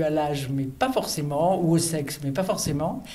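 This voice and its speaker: A woman is speaking with audible room echo. Noticeable background noise is also present. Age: 70s. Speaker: reader on a book prize selection committee. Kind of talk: interview testimony. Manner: hesitant, with fillers and self-corrections.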